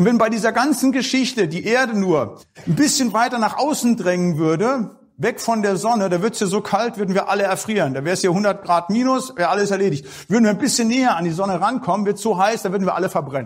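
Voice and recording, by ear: The delivery moves at a fairly quick pace with lively intonation and few pauses. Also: man, high pitch for a man.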